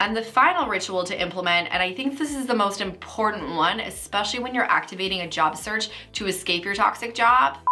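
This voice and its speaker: A woman speaks at a fairly quick pace with hardly any pauses, her medium-pitched voice showing lively intonation against noticeable background noise. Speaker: career coach. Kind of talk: casual talk to camera.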